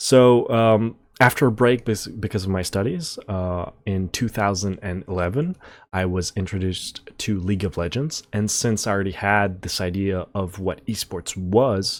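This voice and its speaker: Speaking with a French accent at a fairly low pitch, a man keeps a moderate pace and ordinary pitch variation in a very clean recording with a silent background. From France. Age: 20s. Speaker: esports analyst and content creator. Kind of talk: channel introduction monologue. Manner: casual, with frequent fillers and repetitions.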